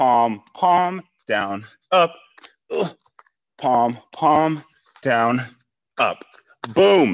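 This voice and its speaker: With a quiet background, the delivery goes at a very slow pace. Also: man. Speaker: fitness instructor. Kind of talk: workout instruction. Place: gym.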